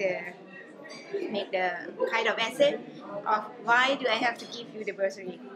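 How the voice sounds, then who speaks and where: The woman talks at a moderate pace while loud background noise carries on. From Laos. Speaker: climate negotiator. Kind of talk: interview answer. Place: meeting room.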